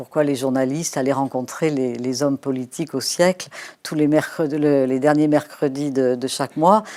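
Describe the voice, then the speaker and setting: A woman speaks at a very deep, low pitch with a dark, mellow tone. Her intonation is fairly even at a moderate pace, on a very clean recording with a silent background. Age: 70s. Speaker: sociologist. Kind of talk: interview. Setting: live studio interview. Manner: hesitant, many fillers.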